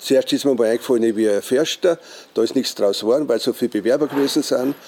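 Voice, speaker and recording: With a dark, mellow tone at medium pitch, a man speaks with ordinary pitch variation in a dry, close sound with no echo. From Austria, Styria (Ausseerland, Gößl). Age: 70s. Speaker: fishing hut owner. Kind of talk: interview. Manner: halting.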